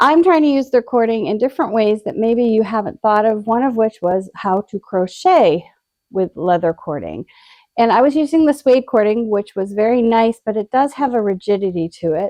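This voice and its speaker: A woman talks at a moderate pace in a fairly high pitch with lively intonation. Hers is an unremarkable speaking voice. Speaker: crafts video presenter. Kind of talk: product unboxing demonstration.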